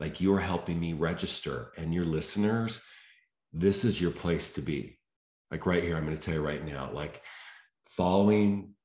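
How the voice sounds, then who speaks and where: Audible room echo around a man's very deep, low voice, moderately paced, with ordinary rises and falls in pitch. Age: 50s. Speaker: health and mindset coach, former bodybuilder. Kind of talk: casual interview chat.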